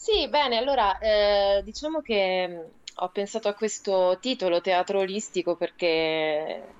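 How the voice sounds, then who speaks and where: A woman of medium pitch talks fairly slowly with lively intonation in a normal speaking voice, the sound dry and close with no echo. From Rome, Italy. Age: 30s. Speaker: theatre artist and writer. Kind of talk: casual radio interview, storytelling. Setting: remote call for live web radio.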